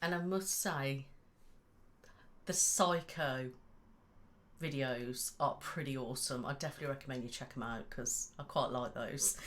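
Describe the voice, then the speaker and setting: Pausing long and often, a woman speaks at a moderate pace in a very deep, low pitch with ordinary pitch variation. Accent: English Midlands. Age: 30s. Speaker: ASMR youtuber, podcast co-host. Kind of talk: casual chat.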